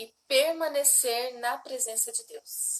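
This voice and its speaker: The speaker is a woman. There is ordinary pitch variation in her voice. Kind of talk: devotional teaching livestream. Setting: livestream with husband.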